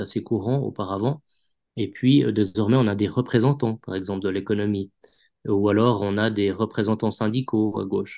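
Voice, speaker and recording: A man's fairly low voice comes through with a dark, mellow tone and fairly even intonation. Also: quiet background. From Switzerland, canton of Vaud. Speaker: journalist. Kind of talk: interview. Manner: halting, many repetitions.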